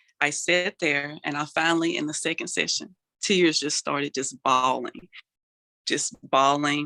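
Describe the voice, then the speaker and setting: With a bright, sharp tone, a woman talks at a fairly slow pace in a very deep, low pitch, her intonation fairly even and the sound dry and close with no echo. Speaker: motivational speaker; mental health advocate. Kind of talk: interview answer.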